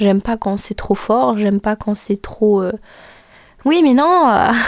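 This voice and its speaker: Soft-spoken and calm in tone, a woman talks at a moderate pace. Her pitch is fairly high. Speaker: podcast host and content creator. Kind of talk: casual monologue. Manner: calm, soft-ish tone.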